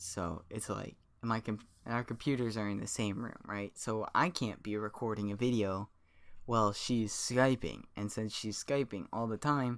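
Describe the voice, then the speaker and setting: The moderate-paced speech is captured on a very clean recording with a silent background. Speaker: gaming youtuber. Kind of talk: casual vlog update. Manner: loud; rambling, hesitant with fillers.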